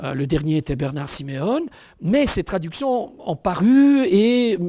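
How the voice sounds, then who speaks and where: A man talks fairly slowly at a high pitch with very wide pitch swings. The sound is dry and close with no echo. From Italian-speaking province. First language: Italian (speaking French). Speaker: author and translator. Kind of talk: interview monologue. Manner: hesitant, many fillers.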